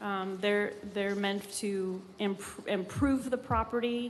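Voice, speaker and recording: A woman talks at medium pitch, with audible room echo in the recording. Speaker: city grants staff presenter. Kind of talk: public meeting presentation and Q&A. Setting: city commission chambers.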